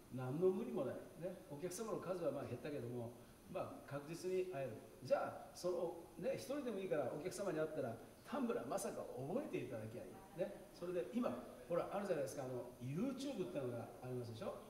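A man speaks with very wide pitch swings. The room echo is audible, with light noise in the background. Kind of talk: stage talk to audience. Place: hall.

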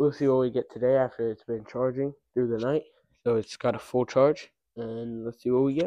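Against a quiet background, a man keeps a moderate pace and fairly even intonation. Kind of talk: casual vlog chat. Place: garage. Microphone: phone near.

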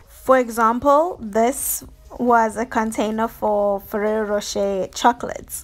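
Here a woman is speaking. Her pace is fairly slow. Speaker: lifestyle vlogger. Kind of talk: casual vlog chat. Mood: cheerful, upbeat. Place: kitchen. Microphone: phone near.

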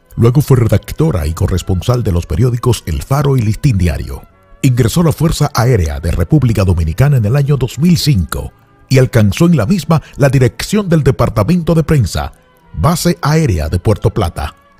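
Over music in the background, a man talks at a moderate pace in a medium pitch. His pitch swings very widely, and the sound is dry and close with no echo. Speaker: radio announcer and host. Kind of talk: radio-style tribute narration.

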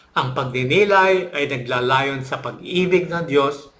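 There is audible room echo around this man's voice. He speaks at a fairly high pitch with ordinary pitch variation. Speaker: religious channel host. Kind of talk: scripted narration. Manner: hesitant with fillers.

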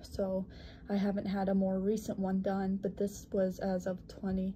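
At a very slow pace, a woman speaks at medium pitch with a somewhat breathy, dark, mellow tone. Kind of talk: personal health explanation to camera. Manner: pauses between words, occasional stutter.

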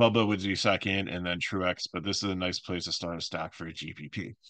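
Quiet background, dry sound with no echo. A man with a very deep, low pitch speaks in a bright, sharp tone. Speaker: fantasy sports picks host. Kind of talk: solo picks commentary. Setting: home recording with microphone. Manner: fast, run-on.

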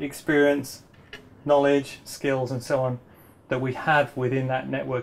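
This man speaks at a moderate pace with fairly even intonation. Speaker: permaculture teacher. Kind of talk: lecture. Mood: warm, smiling. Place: home room.

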